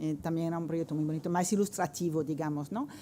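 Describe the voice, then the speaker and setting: This woman's voice has a dark, mellow tone. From France. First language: French (speaking Spanish). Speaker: art professor, researcher. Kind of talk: round-table presentation. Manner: halting, many fillers.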